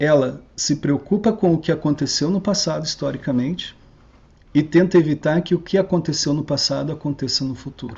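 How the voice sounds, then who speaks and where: At a moderate pace, a man speaks in an ordinary speaking voice whose fairly high pitch moves with ordinary variation. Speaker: researcher giving a talk. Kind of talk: online lecture. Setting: online video call.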